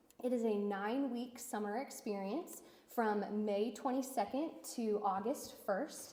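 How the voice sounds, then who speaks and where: A woman speaks at a fairly slow pace with a fairly high pitch and very even loudness. Noticeable background noise sits behind her. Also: ordinary pitch variation. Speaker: nonprofit internship coordinator. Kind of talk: presentation at business meeting. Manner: hesitant, many fillers.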